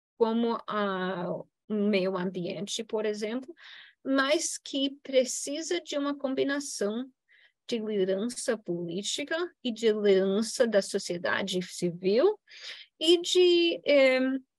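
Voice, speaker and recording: A woman speaks with an English accent at a very slow pace. Her pitch is fairly high and swings very widely. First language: English (speaking Portuguese). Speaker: political science professor. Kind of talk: Q&A answer; lecture. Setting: university event with audience. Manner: halting, many fillers.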